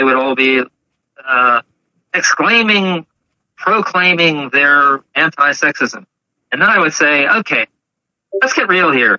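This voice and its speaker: This man's voice sits at a fairly high pitch. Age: 70s. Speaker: multimedia artist and composer. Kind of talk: casual chat.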